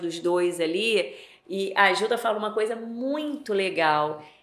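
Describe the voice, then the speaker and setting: A woman's fairly high voice at a fairly slow pace, with very wide pitch swings and audible room echo. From Niterói, Rio de Janeiro, Brazil. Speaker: leadership and HR consultant. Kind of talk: casual interview chat.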